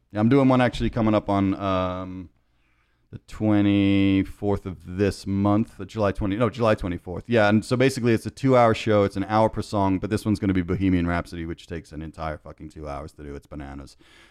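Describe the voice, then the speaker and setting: Against a quiet background, a man speaks at a fairly quick pace in a fairly low pitch, with ordinary pitch variation and big swings in loudness. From England (London), moved to New York as a teen. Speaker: music producer and former radio DJ. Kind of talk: casual chat. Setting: studio. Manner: animated.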